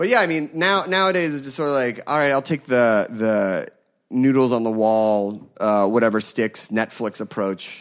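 This man has a plain, everyday voice with an American accent, medium pitch, lively intonation and a moderate pace. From Philadelphia, US. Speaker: food podcast host. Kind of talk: casual chat.

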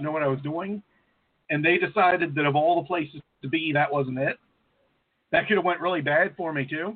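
Here is a man with an ordinary speaking voice. His pitch sits fairly high, and he talks at a fairly quick pace. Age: 30s. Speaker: co-host. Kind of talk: casual chat.

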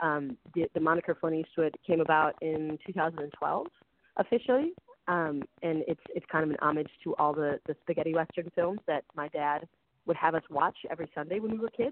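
A woman with an American accent talks at a moderate pace, her fairly low pitch showing ordinary variation. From US Midwest. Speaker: pop musician. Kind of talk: casual interview. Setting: phone call.

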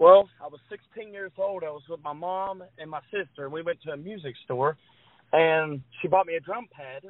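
In an American accent, a high-pitched man talks with fairly even intonation. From West Virginia. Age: 20s. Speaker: drummer. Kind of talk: interview.

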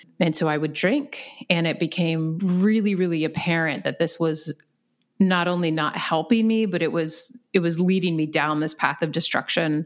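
Speaking with an American accent, the voice keeps a moderate pace and ordinary pitch variation. The recording is very clean, with a silent background. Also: woman, fairly low pitch for a woman. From Virginia, US. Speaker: physical therapist and recovery coach. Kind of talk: interview conversation. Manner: animated, enthusiastic.

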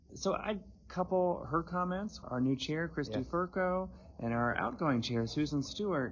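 A man's normal speaking voice, fairly high-pitched, with lively intonation and very even loudness. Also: moderate pace. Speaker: economist. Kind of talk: interview, professional conversation. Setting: in person at conference.

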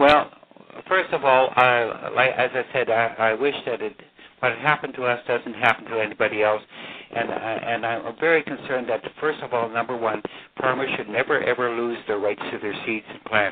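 At a moderate pace, a man talks with medium pitch and fairly even intonation over noticeable background noise. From Saskatchewan, Canada. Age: 80s. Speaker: farmer and anti-GMO activist. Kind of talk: radio interview.

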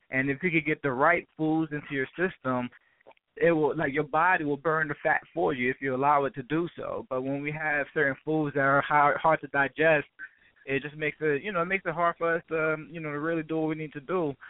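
In an American accent, a man with a fairly high pitch speaks at a fairly quick pace with monotone, flat intonation. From Brooklyn, New York. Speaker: health and wellness expert. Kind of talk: casual interview.

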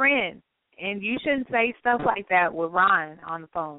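This woman speaks with a Southern US accent at a fairly slow pace. Her intonation is lively. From North Carolina. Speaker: radio host. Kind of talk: casual chat. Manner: animated.

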